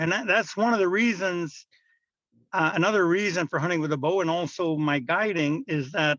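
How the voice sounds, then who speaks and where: His voice is high in pitch for a man, with ordinary pitch variation. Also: quiet background. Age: 60s. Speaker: bowhunting guide and outdoorsman. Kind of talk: podcast interview. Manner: hesitant, many fillers.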